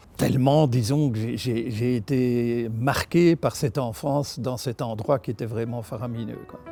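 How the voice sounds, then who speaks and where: Over music in the background, a man speaks at a medium pitch and a fairly slow pace, with fairly even intonation. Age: 70s. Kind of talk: interview answer.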